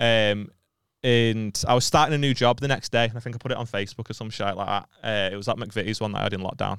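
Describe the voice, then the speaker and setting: A man with a Liverpool accent talks at a very fast pace, at a medium pitch. His intonation is fairly even, and the recording is very clean with a silent background. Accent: Scouse. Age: 20s. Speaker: comedian. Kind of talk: casual chat.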